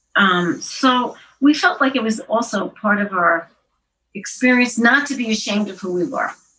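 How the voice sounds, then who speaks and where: A woman's fairly high, bright and sharp voice carries lively intonation at a moderate pace. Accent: American. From Queens, New York City. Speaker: poet and journalist. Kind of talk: interview answer. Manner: conversational, hesitant.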